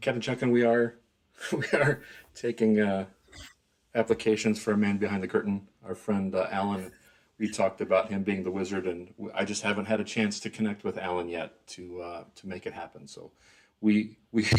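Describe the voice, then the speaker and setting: A soft-spoken man with a fairly low pitch, fairly even intonation, a moderate pace and big swings in loudness. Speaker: live stream host. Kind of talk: casual chat. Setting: live stream.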